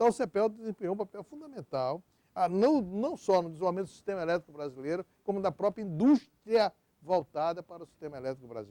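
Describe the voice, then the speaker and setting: A man talks at a very fast pace. His high voice swings very widely in pitch. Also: dry, close sound with no echo. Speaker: electric power sector executive. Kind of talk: oral history interview. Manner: halting, with many fillers and repetitions.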